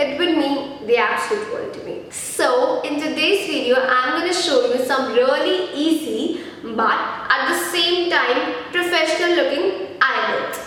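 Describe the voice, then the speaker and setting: Fairly slow speech with very wide pitch swings, plus audible room echo and noticeable background noise. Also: woman, high pitch for a woman. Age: 20s. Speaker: beauty vlogger. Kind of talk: tutorial.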